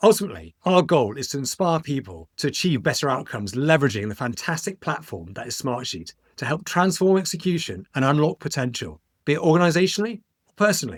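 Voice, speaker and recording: A man speaks very fast in a fairly high voice, his pitch swinging very widely, with vocal fry. The recording is very clean against a silent background. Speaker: podcast host. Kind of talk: podcast host interview.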